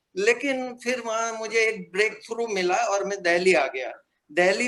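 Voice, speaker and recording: This man's high-pitched voice has a bright, sharp tone. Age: 70s. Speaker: retired printing professional, alumnus. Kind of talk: casual reminiscence on video call. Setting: video call. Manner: hesitant, many fillers.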